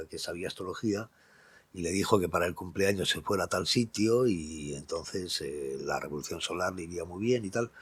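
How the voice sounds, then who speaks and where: The recording is very clean with a silent background. A man speaks very low and deep at a moderate pace with ordinary pitch variation. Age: 60s. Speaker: astrologer. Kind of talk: casual monologue. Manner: animated.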